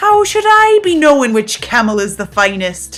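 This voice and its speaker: A put-on character voice that sounds female, pitched high for a woman, with faint music in the background. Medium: audio drama. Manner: blustering, pirate dialect.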